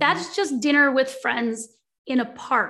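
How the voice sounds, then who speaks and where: On a very clean recording with a silent background, a woman uses a raised, projected voice, high in pitch with a bright, sharp tone, at a moderate pace. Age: 40s. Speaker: biomechanist and author. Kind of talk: interview.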